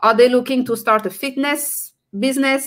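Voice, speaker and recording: At a moderate pace, a woman speaks with a French accent. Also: quiet background. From France. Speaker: entrepreneur and personal branding coach; personal branding coach. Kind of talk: live stream interview. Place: home room.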